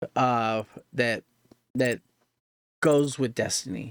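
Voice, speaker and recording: A man's medium-pitched voice at a very slow pace, in a very clean recording with a silent background. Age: 30s. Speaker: gaming streamer. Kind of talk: casual reaction commentary. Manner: casual, halting with repetitions.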